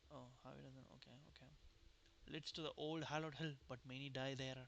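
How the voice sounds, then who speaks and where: A non-native accent at a moderate pace. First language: not English. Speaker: game streamer. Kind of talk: gameplay commentary, reading game dialogue aloud.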